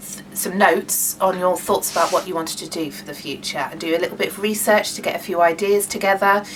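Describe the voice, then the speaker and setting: A woman with a British accent at a medium pitch, very fast with hardly any pauses, big swings in loudness, fairly even intonation, and noticeable background noise. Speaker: craft workshop leader. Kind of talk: online workshop tutorial. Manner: halting, many fillers.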